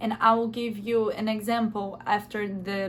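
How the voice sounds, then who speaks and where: Speaking slowly-ish with a Brazilian accent, a woman has a fairly high, somewhat breathy voice and fairly even intonation. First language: Portuguese. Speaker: language teaching youtuber. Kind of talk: tutorial. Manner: halting, with hesitations.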